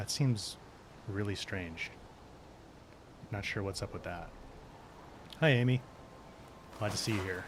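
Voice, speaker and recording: Soft-spoken and at a fairly slow pace, a man uses ordinary pitch variation and leaves long, frequent pauses. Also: fairly low pitch for a man. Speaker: gaming streamer. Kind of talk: live stream gameplay commentary.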